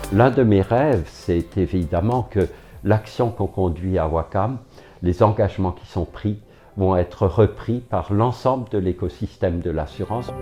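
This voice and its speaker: A man with a dark, mellow tone and a somewhat breathy voice talks at a fairly slow pace and fairly low pitch. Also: ordinary pitch variation. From Alsace, France (Strasbourg). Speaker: head of a debt-advice federation, company mission committee member. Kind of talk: corporate testimonial interview. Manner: halting, many hesitations.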